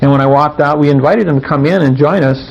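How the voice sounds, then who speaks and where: With noticeable background noise behind him, a man talks at a moderate pace and a medium pitch. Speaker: workshop presenter. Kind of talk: seminar talk.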